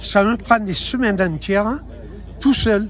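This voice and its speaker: A man's high voice carries ordinary pitch variation as he talks at a moderate pace. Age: 70s. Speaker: racing circuit owner. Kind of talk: interview.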